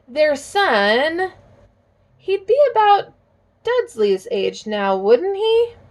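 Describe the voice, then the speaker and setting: A woman in a put-on character voice mumbles at a very slow pace, her extremely high pitch swinging very widely between long, frequent pauses. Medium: read story. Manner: hesitant, mumbling.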